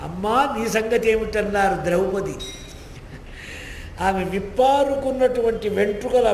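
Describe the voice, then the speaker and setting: Noticeable background noise accompanies a man speaking with a high pitch. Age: old. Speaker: Puranic scholar and religious discourse speaker. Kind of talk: religious discourse. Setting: temple hall before a live audience.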